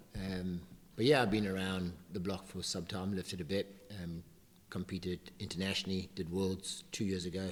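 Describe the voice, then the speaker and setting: A man's very deep, low voice at a moderate pace, broken by long, frequent pauses. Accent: South African. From South Africa. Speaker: weightlifting coach. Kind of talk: casual chat.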